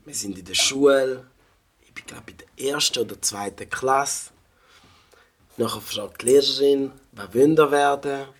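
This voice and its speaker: An animated man speaks at a fairly high pitch with ordinary pitch variation and big swings in loudness. His pace is fairly slow, broken by long, frequent pauses. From Switzerland (St. Gallen), African family. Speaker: rapper and music producer. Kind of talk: casual chat.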